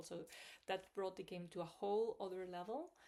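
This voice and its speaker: A woman speaks in a Spanish accent. Her pitch is medium. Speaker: language learning vlogger. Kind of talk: video diary. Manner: hesitant, many fillers.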